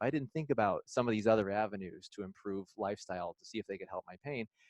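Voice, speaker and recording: With a Midwestern accent, a man talks at a fairly quick pace and with lively intonation, the sound dry and close with no echo. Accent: Midwestern accent, noticeable to locals. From Illinois. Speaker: physical therapist. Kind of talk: lecture.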